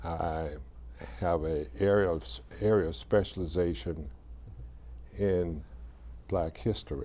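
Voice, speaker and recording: Speaking at a fairly slow pace with long, frequent pauses, a man uses a very deep, low pitch, a dark, mellow tone and lively intonation, with audible room echo around him. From US South, Atlanta. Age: 70s. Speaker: historian, former professor. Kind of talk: interview. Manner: halting.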